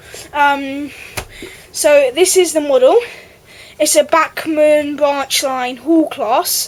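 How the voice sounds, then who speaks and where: The speaker talks at a very slow pace with long, frequent pauses. Intonation stays fairly even over noticeable background noise. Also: woman, high pitch for a woman. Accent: English. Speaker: model railway YouTuber. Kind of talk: product review.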